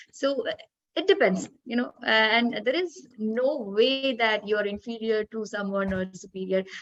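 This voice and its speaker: In a Malayali accent, a woman speaks at a fairly high pitch. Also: ordinary pitch variation, fairly slow pace. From India, Kerala. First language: Malayalam. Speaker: English language academic. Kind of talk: panel discussion. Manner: hesitant, many fillers.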